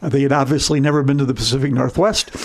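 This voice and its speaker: Noticeable background noise runs under the recording. A man speaks with a fairly high pitch. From Michigan, US Midwest. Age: 70s. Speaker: company founder. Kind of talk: podcast interview.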